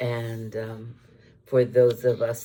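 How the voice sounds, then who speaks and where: A woman's very deep, low voice carries a dark, mellow tone, somewhat breathy and monotone, with flat intonation. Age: 70s. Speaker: vlogger. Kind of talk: casual chat. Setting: video recorded on iPad. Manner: hesitant, many fillers.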